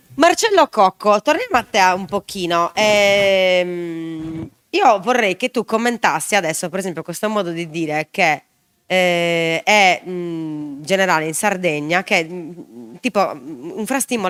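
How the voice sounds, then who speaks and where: Medium in pitch with ordinary pitch variation, this woman has a plain, everyday voice. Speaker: show host. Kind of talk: live talk show with guests.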